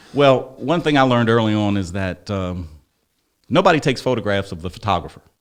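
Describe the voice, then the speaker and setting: Fairly quick and lively, a man with a fairly low pitch speaks in an American accent. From Chester, Pennsylvania (US). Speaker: city council candidate and local journalist. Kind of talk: interview. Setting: sit-down interview. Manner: laid-back.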